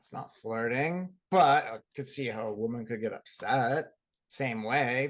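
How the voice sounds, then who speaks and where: At a fairly slow pace, a man speaks at a medium pitch with ordinary variation. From Boston area. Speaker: podcast co-host. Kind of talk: casual chat.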